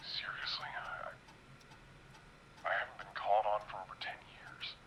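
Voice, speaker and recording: A man whispers in a put-on character voice. The voice is gruff, and the pace is moderate. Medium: video game. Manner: gruff, curt.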